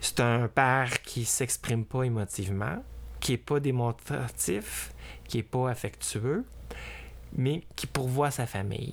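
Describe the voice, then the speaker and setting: With a Quebec accent, a man speaks at a very slow pace with ordinary pitch variation. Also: medium pitch for a man. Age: 50s. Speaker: drag performer. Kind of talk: interview testimony. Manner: hesitant, with many fillers.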